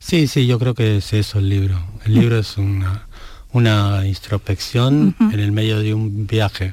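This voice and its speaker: On a very clean recording with a silent background, a man with a fairly low pitch and a dark, mellow tone talks at a fairly slow pace, somewhat breathy, with fairly even intonation. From Argentina, small town. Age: 60s. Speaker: novelist. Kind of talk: interview. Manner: halting.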